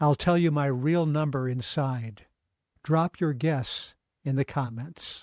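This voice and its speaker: A man speaks at a very slow pace in a fairly high pitch, with fairly even intonation. The recording is very clean, with a silent background. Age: 60s. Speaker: ultramarathon runner and trial attorney. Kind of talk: scripted narration. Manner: formal.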